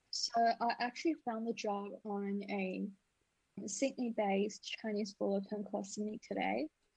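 A woman's somewhat breathy voice moves at a moderate pace with fairly even intonation in a dry, close sound with no echo. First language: not English. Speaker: former escort service receptionist, international student. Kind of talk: casual interview.

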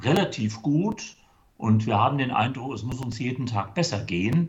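At a fairly slow pace, the voice sounds somewhat breathy with lively intonation. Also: man. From Germany, Limburg (Hesse). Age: 60s. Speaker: church charity worker. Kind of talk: interview. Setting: video call.

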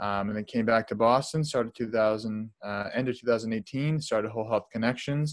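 In a normal speaking voice, a man talks at a moderate pace and medium pitch on a very clean recording with a silent background. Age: 20s. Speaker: holistic lifestyle coach. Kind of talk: interview.

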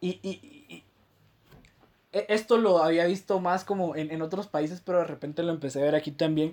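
The tone is animated and the pace moderate. Long, frequent pauses break up the speech. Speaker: podcast co-host. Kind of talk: casual chat.

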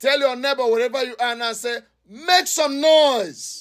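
The man's tone is bright, sharp and animated, with ordinary pitch variation. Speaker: preacher. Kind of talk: prayer-warrior sermon and commanding prayer. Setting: church service with congregation. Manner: loud, animated, fervent, repeated shouted refrains; commanding, urging the congregation to make noise.

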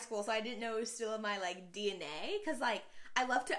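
Very fast and animated, a woman speaks at a fairly high pitch with an American accent. Noticeable background noise is present. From Texas, Houston. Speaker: college student. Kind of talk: casual chat.

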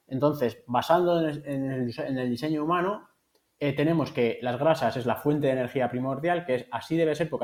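A man with a fairly high pitch, ordinary pitch variation, and a plain, everyday voice. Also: very clean recording, silent background. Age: 40s. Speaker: nutritionist. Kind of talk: interview.

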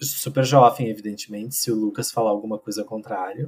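A man's unremarkable speaking voice, fairly low in pitch, with fairly even intonation. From Rio Grande do Sul, Brazil (interior, Pantano Grande). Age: 40s. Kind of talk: casual podcast interview. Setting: video call recording at home.

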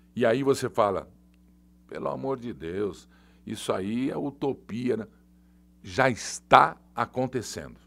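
A man speaks at a medium pitch with vocal fry, lively intonation and big swings in loudness. His pace is very slow with long, frequent pauses, on a very clean recording with a silent background. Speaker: journalist and online show host. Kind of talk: live political commentary. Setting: studio, live stream. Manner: animated. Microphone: new heavy microphone.

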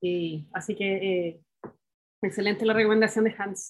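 A woman is talking. Her pace is fairly slow. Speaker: engineer, doctoral student. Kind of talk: casual chat.

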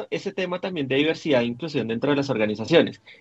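Using a plain, everyday voice, a man talks with lively intonation at a fairly high pitch. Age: 30s. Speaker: LGBTIQ activist, coordinator. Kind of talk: interview conversation.

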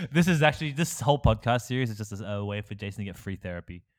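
A man talks at a fairly quick pace in a medium-pitched voice with lively intonation. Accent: Australian. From Australia, small country town, Malaysian Chinese parents. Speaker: podcast host. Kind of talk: casual chat.

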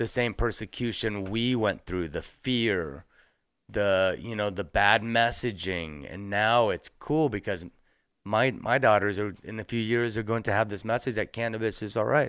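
On a very clean recording with a silent background, a man with an ordinary speaking voice speaks at a moderate pace and fairly low pitch, with ordinary pitch variation. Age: 40s. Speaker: cannabis entrepreneur. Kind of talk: casual chat.

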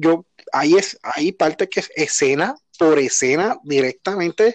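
In a dry, close recording with no echo, a man speaks fairly slowly with very wide pitch swings. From Puerto Rico. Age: 30s. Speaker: podcast host. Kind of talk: casual chat.

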